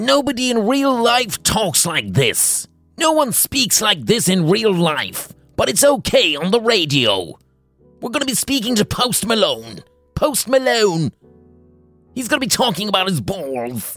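In a put-on character voice with a fairly high pitch, the speaker goes at a moderate pace as faint music plays in the background. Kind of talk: stilted radio announcer. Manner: cheesy, fake-enthusiastic.

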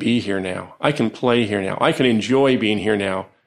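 Here is a man with a normal speaking voice at a fairly low pitch and a moderate pace. His pitch varies in an ordinary way over a quiet background. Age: 50s. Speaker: psychologist and professor. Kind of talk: interview conversation. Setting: in an office.

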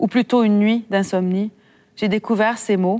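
Recorded very cleanly against a silent background, with a dry, close sound and no echo, a woman speaks fairly slowly at a medium pitch in a monotone, flat intonation. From Quebec, Saguenay. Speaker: author. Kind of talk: reading aloud. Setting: library event with audience.

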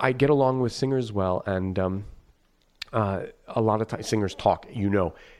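The voice shows ordinary pitch variation. It moves at a moderate pace. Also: man, fairly low pitch for a man. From northeastern Pennsylvania, New York family. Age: 30s. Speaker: opera conductor. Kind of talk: casual interview chat. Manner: friendly, casual.

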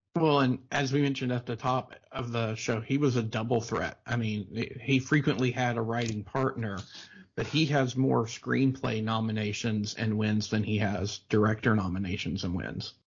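A man's voice carries some breathiness and shows normal variation in pitch. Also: medium pitch for a man, moderate pace. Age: 40s. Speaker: film podcast host. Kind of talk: reading aloud; casual chat.

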